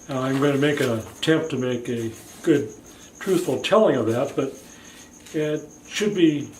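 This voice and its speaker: An American accent comes through at a fairly slow pace. Audible room echo surrounds the voice. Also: man. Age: 70s. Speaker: video blogger. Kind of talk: personal monologue. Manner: casual, with hesitations.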